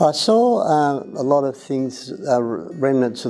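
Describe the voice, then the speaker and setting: A man speaks with an Australian accent. Music plays in the background. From Australia, Melbourne area. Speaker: volunteer. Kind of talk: personal reminiscence. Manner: halting, many fillers.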